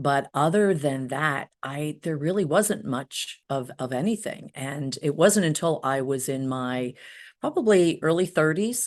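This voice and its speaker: A woman speaks in a New Jersey accent with a very deep, low pitch. Her intonation is lively, her pace fairly slow, and the background quiet. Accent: New Jersey American. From US Northeast, New Jersey. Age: 60s. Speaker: hypnotherapist. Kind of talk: interview. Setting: podcast.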